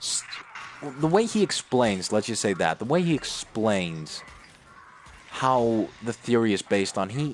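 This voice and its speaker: This man talks at a fairly slow pace and medium pitch, with lively intonation and long, frequent pauses. Noticeable background noise runs under his voice. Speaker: gamer streamer. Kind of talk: casual chat. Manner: halting, stuttering.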